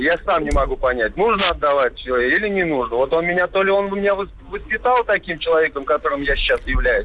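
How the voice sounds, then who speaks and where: A man speaks at a very fast pace with hardly any pauses and very even loudness. There is noticeable background noise. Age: 30s. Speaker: caller. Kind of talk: call-in testimony.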